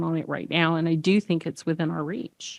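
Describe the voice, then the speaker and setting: A woman with a Texas accent is heard in a very clean recording with a silent background, the sound dry and close with no echo. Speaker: accessibility expert, conference speaker. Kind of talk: conference talk. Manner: animated.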